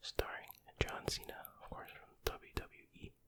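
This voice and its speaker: A man whispers while noticeable background noise fills the recording. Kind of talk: ASMR whispered rambling and reading. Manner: whispered, soft-spoken.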